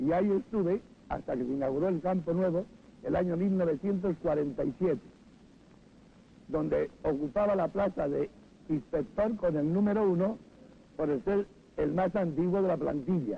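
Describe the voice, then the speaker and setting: A man with a high pitch talks at a moderate pace, leaving long, frequent pauses. His loudness stays very even, and his pitch varies in an ordinary way. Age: 70s. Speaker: former stadium usher. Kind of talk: interview testimony.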